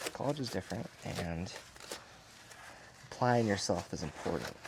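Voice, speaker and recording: With an American accent, the voice makes very wide pitch swings over noticeable background noise. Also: man. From Montana. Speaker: car detailer. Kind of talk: casual monologue while working. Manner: hesitant, many fillers.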